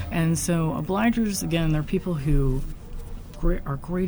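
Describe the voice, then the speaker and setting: There is audible room echo around this woman's voice. She speaks with an American accent and ordinary pitch variation. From US West Coast, San Francisco Bay Area. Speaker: game studio founder. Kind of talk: casual interview. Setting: conference venue.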